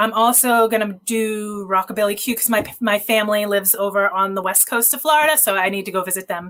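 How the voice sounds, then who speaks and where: Over noticeable background noise, a woman with a fairly high pitch talks at a very fast pace with hardly any pauses and ordinary pitch variation. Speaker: photographer. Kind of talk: podcast interview answer.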